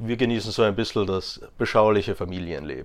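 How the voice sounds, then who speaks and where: A man speaks with ordinary pitch variation. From Austria, Graz (Styria). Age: 20s. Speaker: interview guest. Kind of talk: casual interview. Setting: in person.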